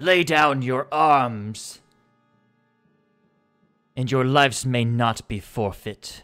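With music in the background, a man performs a booming put-on character voice at medium pitch and a very slow pace. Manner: commanding, authoritative.

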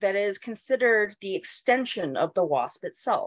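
A woman with an American accent speaks at a moderate pace, the sound dry with no echo against a quiet background. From Colorado. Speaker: entomologist and university instructor. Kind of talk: lecture. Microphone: webcam.

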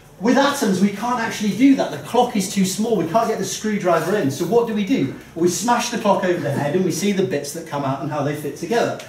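A man talks at a very fast pace with lively intonation. Audible room echo surrounds his voice. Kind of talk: comedic science talk. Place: bar. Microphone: camera far.

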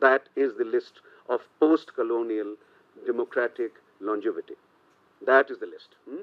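A man talks at a moderate pace with big swings in loudness. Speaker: political scientist. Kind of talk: panel talk. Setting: stage with audience. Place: meeting room. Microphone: podium.

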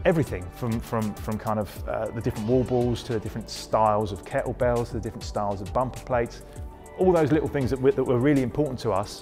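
A man talks at a very fast pace. Faint music sits in the background. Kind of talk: interview answer. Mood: enthusiastic, positive. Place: gym. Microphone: lapel.

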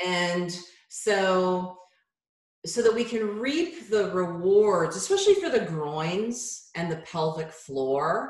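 A woman speaks at a very slow pace with ordinary pitch variation. The background is quiet, with audible room echo. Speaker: yoga teacher guest. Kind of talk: interview answer. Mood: warm, humorous, relaxed. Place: home room. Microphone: video call.

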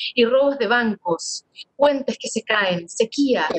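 This woman speaks at a fairly slow pace. Her fairly high pitch has ordinary variation, and the background is quiet. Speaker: audiobook reader. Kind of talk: literary audiobook reading, narrated prose with quoted dialogue. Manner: measured, expressive narration, shifting tone for the father's lines. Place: home room. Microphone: webcam.

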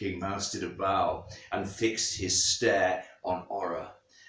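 Reading aloud, plain

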